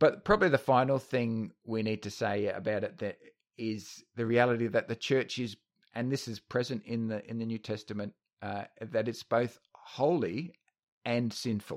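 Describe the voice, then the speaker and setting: In a very clean recording with a silent background, a man with an Australian accent speaks at a moderate pace and medium pitch. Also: ordinary pitch variation. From Australia, North Queensland. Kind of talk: casual discussion. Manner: halting, many fillers and repeats.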